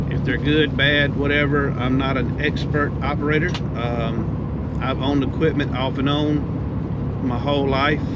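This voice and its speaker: A man with a south Georgia accent speaks at a fairly slow pace with hardly any pauses, in a fairly high pitch with monotone, flat intonation and very even loudness. Audible room echo and noticeable background noise fill the recording. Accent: Southern US (south Georgia). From US South, south Georgia. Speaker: heavy equipment business owner. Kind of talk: casual vlog narration. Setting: outdoors at job site. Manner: halting, many fillers.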